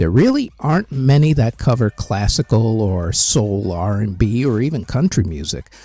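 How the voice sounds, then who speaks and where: Over a very clean recording with a silent background, a man with a medium pitch and a dark, mellow, somewhat breathy tone speaks at a moderate pace with lively intonation and hardly any pauses, in a dry, close sound with no echo. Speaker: music history podcaster. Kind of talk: casual channel update monologue.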